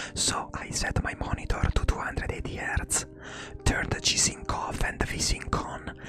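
Noticeable background noise sits under the audio. The speaker whispers at a moderate pace. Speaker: tech youtuber. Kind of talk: tutorial. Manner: whispering; soft-spoken.

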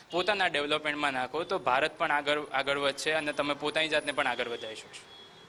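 A man speaks with a fairly high pitch and fairly even intonation. He has an unremarkable speaking voice. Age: 20s. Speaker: amateur marathon runner. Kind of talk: news interview.

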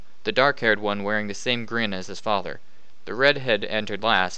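The delivery sounds natural. Someone is reading a passage aloud.

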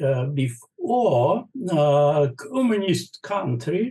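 Against a quiet background, a man with a fairly high voice and a Russian accent swings his pitch very widely. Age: 70s. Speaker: bishop. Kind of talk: interview answer. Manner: hesitant, many fillers. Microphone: video call.

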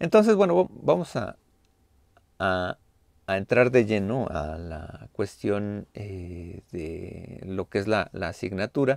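Over a quiet background and with a dry sound with no echo, a man talks at a very slow pace and a fairly low pitch, with ordinary pitch variation. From Mexico. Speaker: university lecturer. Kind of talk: online class lecture. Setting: video call. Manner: halting, many fillers. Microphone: webcam.

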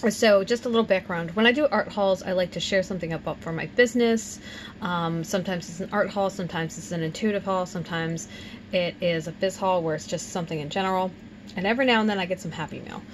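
A woman at a very fast pace, ordinary pitch variation, noticeable background noise. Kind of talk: casual vlog chat. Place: home room.

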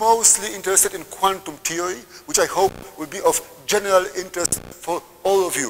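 The speech moves at a fairly quick pace. Light background noise can be heard. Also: man. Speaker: visiting lecturer. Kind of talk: lecture. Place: hall.

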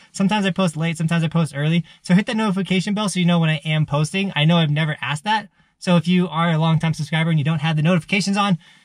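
A man talks at a very fast pace with hardly any pauses, his pitch high and his intonation fairly even. The sound is dry with no echo. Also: quiet background. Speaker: snowboard vlogger. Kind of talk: casual vlog chat. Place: car. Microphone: phone near.

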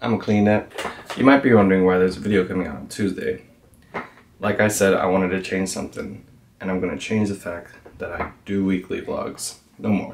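An unremarkable speaking voice moves at a fairly quick pace with fairly even intonation over light background noise. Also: man, fairly low pitch for a man. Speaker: vlogger. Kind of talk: casual vlog chat. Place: home room. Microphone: camera far.

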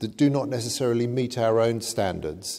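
The background is quiet. A man talks in a dark, mellow tone. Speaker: conference lecturer. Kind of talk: lecture. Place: hall. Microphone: podium.

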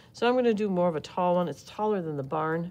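Here a woman uses a normal speaking voice, pitched fairly low. Her intonation is lively. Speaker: art teacher. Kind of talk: tutorial. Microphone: phone near.

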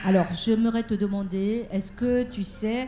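Speaking at a fairly slow pace, a woman uses a medium pitch, a dark, mellow tone and fairly even intonation.

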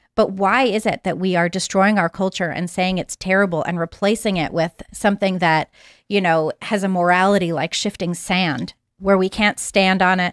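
A woman with an American accent speaks at a moderate pace with fairly even intonation. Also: quiet background, dry sound with no echo. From Massachusetts, US. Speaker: journalist. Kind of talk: casual panel talk show. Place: studio. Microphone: studio mic.

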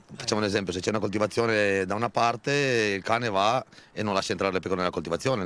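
A man speaks at a very fast pace in a fairly low voice. The sound is dry with no echo, over light background noise. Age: 30s. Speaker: shepherd. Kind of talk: interview. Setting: outdoors. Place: open country. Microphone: handheld.

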